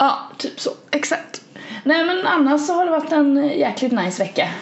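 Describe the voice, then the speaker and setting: Against noticeable background noise, a woman with a high pitch talks at a moderate pace, leaving long, frequent pauses. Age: 20s. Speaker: podcast co-host. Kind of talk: casual chat.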